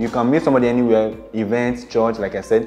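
A man at a fairly quick pace with fairly even intonation, faint music in the background. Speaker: presenter. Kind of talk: tutorial. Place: home room. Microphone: lapel.

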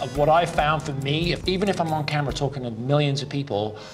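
With clear music in the background, a man talks at a very fast pace with ordinary pitch variation. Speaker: pitchman and business coach. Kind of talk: coaching commentary to camera. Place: office.

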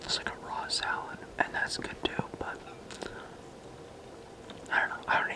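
The whispered speech moves at a moderate pace, broken by long, frequent pauses. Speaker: mukbang ASMR creator. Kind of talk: ASMR eating video talk. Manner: casual, hesitant. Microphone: phone near.

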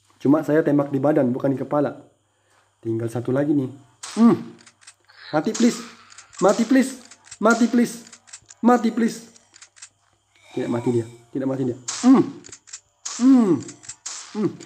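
Animated tone in a Malaysian accent at a moderate pace, with long, frequent pauses. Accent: non-native Indonesian, Malaysian-sounding. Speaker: gaming youtuber. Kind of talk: gameplay commentary.

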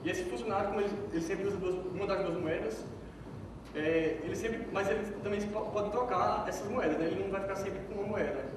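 Talking at a very fast pace, a man with a high pitch keeps a fairly even intonation amid noticeable background noise and audible room echo. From Brazil, Pernambuco (Petrolina). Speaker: software developer giving a conference talk. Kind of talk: conference talk. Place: hall.

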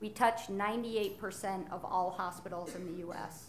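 A woman's voice with fairly even intonation over light background noise. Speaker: healthcare company executive. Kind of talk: conference panel discussion. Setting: stage with audience. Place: hall. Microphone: podium.

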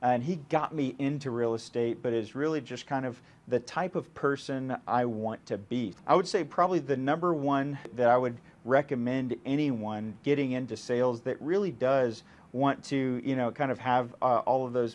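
With ordinary pitch variation, a man speaks at a moderate pace. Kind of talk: interview answer. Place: office. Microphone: lapel.

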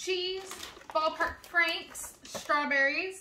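Over noticeable background noise, a woman speaks in a raised, projected voice at a very slow pace. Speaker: family vlogger. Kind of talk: casual vlog chat. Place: kitchen. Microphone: camera far.

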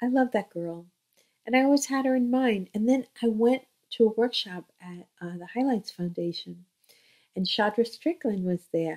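With an American accent, a woman talks at a moderate pace and with lively intonation against a quiet background. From US, Flushing, Queens, New York; New York. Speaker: children's book author. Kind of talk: casual talk to camera. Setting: home, in bedroom. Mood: warm, chatty. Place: home room. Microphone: webcam.

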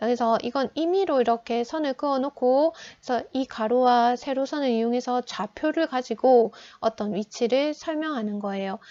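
A woman speaks in a high pitch with a dark, mellow tone and ordinary pitch variation. The sound is dry and close with no echo, over a quiet background. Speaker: high school geography teacher. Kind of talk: online lecture. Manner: slow.

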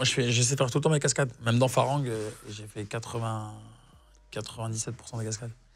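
Somewhat breathy and monotone, a man speaks at a fairly slow pace with flat intonation and big swings in loudness over light background noise. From southern France, Nîmes; southern France. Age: 30s. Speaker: actor. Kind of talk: casual chat. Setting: studio. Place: studio. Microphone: lapel.

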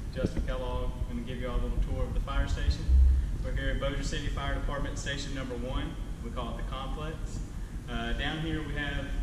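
The speaker goes at a very fast pace, with audible room echo and loud background noise. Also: man. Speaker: firefighter tour guide. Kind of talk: tour explanation for children. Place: garage.

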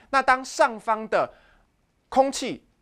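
A man with a Taiwanese accent over a quiet background. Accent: Taiwanese Mandarin. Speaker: high school physics teacher. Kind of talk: lecture. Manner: animated.

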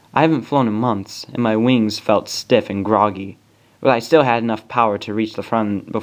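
An unforced reading voice carries this recording.

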